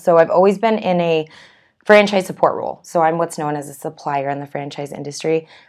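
A woman at a fairly low pitch, fairly quick pace and ordinary pitch variation, against a quiet background. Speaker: podcast guest, franchise industry sales manager. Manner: fast talker.

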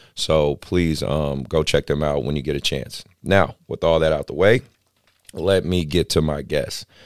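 A man with a very deep, low voice and an American accent speaks at a fairly slow pace with ordinary pitch variation, in a dry, close sound with no echo. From Oakland, California. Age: 40s. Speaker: podcast host and basketball coach. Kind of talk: casual chat. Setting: basketball facility.

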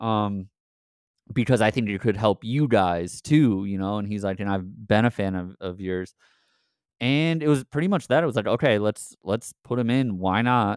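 With an American accent, a man speaks at a moderate pace. His pitch is fairly low, with ordinary pitch variation. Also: dry, close sound with no echo. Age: 30s. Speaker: musician. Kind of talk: interview. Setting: remote call from a house basement. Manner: halting, with fillers.

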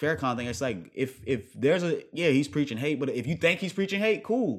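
A man with a fairly high voice talks at a fairly quick pace, his pitch swinging very widely, with vocal fry. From Virginia, partly raised overseas. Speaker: podcast guest, listener of the show. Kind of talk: casual chat.

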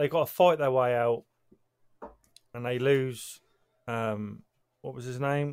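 A man with a British accent and a medium pitch speaks at a fairly slow pace with fairly even intonation, big swings in loudness and long, frequent pauses. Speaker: podcast host. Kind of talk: casual chat.

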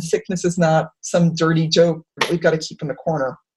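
Somewhat breathy, a woman with an American accent speaks at a fairly quick pace. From Worcester, Massachusetts. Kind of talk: panel discussion. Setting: video call.

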